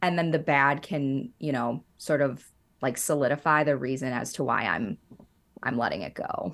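A woman with a very deep, low pitch. She speaks at a moderate pace. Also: ordinary pitch variation, very clean recording, silent background. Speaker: podcast co-host. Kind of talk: casual chat.

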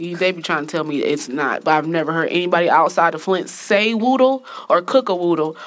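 A woman talks at a fairly quick pace, her fairly low voice moving with ordinary pitch variation. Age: 30s. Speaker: podcast host. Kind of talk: casual chat. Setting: studio.

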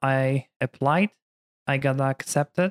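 Intonation stays fairly even as a man talks with a Polish accent. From Poland. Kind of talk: casual interview chat.

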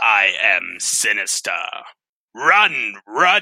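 A man puts on a raspy character voice. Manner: menacing.

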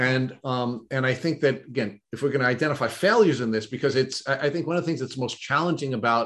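A man talks in a plain, everyday voice at a medium pitch with ordinary pitch variation. His pace is fairly quick. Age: 50s. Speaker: podcast host. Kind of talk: interview.

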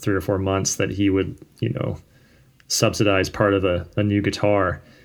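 On a very clean recording with a silent background, a man with an ordinary speaking voice talks at a moderate pace, fairly low in pitch and with fairly even intonation. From Virginia (Richmond, Fredericksburg). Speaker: musician. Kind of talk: casual chat.

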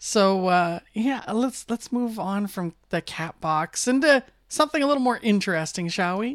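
Delivered at a moderate pace in a plain, everyday voice, the speech has lively intonation and hardly any pauses, with a dry, close sound, no echo, and a very clean recording over a silent background. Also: woman, medium pitch for a woman. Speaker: radio host. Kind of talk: casual chat. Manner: rambling.

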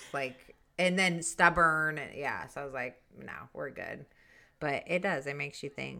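A woman speaks at a fairly slow pace with a bright, sharp tone, vocal fry, and a very deep, low pitch. Her pitch varies in an ordinary way while her loudness swings widely, on a very clean recording with a silent background. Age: 40s. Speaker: podcast co-host, mother. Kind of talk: casual chat. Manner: hesitant, many fillers.

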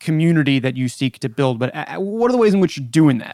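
The recording is very clean with a silent background and a dry, close sound without echo. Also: man. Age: 30s. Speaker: podcast host. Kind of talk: interview.

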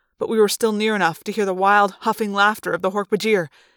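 The plain reading aloud keeps a fairly even intonation throughout.

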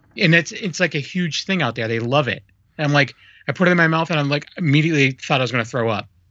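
Very fast speech from a man at a fairly high pitch, with ordinary pitch variation. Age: 40s. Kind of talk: casual chat. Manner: halting.

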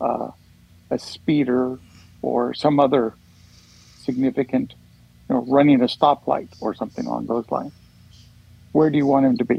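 With an American accent, a man speaks in a monotone, flat intonation at medium pitch and a moderate pace, his dark, mellow tone coming through dry and close with no echo amid long, frequent pauses. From Oregon. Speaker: panel regular. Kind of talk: casual chat.

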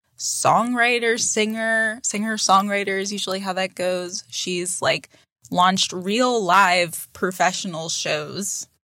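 On a very clean recording with a silent background, a woman speaks at a very slow pace. Her medium-pitched voice has a bright, sharp tone. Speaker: podcast host and comedian. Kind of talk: casual chat. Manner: animated.

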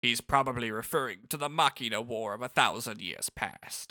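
The speaker uses a put-on character voice at a moderate pace. The pitch varies in an ordinary way. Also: man, medium pitch for a man.

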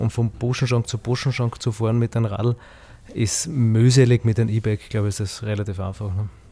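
A man with a dark, mellow tone and a somewhat breathy quality speaks at a fairly quick pace with fairly even intonation. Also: medium pitch for a man. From Austria, southern Styria (Heimschuh). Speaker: winemaker. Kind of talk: casual chat. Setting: outdoors.

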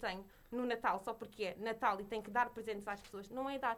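Very fast, fairly even speech from a woman with a fairly high pitch. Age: young. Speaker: podcast co-host. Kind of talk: casual chat.

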